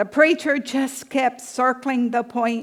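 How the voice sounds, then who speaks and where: Speaking with a Southern US accent, a woman takes a very slow pace. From US South. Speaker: pastor. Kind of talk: sermon.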